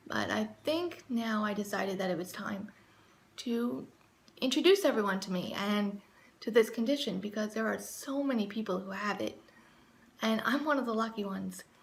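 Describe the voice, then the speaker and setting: Noticeable noise in the background, with pitch that varies in an ordinary way. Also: woman, fairly high pitch for a woman, moderate pace. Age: 20s. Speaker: vlogger. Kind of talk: casual talk to camera.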